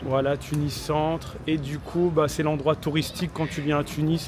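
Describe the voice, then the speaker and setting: Over noticeable background noise, a man with a fairly high-pitched voice speaks at a fairly slow pace. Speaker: travel vlogger. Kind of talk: vlog narration to camera.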